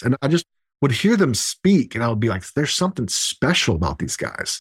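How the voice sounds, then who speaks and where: In an American accent, a man uses a plain, everyday voice with fairly high pitch and lively intonation, talking at a fairly quick pace with a dry, close sound, no echo, on a very clean recording with a silent background. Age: 40s. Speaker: entrepreneur and real estate developer. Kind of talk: casual interview chat.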